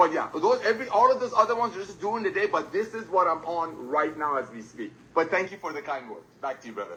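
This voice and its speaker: Against noticeable background noise, a man in a raised, projected voice of high pitch races along at a very fast pace with hardly any pauses, very wide pitch swings and big swings in loudness. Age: 60s. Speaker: company co-founder. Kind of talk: business presentation webinar. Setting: video call.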